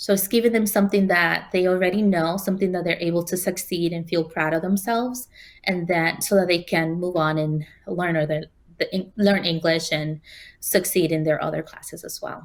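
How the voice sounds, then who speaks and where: A fairly low-pitched woman with a Spanish accent at a fairly quick pace, fairly even in intonation, on a very clean recording with a silent background. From Spanish-speaking country, moved to New York City at 15. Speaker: quilt designer and teacher. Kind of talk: interview.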